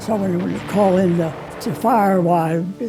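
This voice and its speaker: An American accent at a moderate pace with ordinary pitch variation, music in the background. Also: man. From Pennsylvania coal region. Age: 80s+. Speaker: war veteran. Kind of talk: testimony. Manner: halting.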